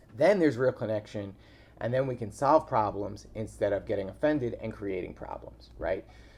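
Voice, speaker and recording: A man is speaking with an American accent. His pace is moderate. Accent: Staten Island accent, put on at times. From New York, Staten Island. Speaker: podcast host, relationship coach. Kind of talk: casual monologue vlog.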